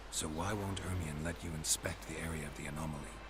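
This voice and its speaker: A man uses a put-on character voice with a very deep, low pitch at a very fast pace. Loud background noise runs beneath him. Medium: game stream. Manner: low, dry, terse.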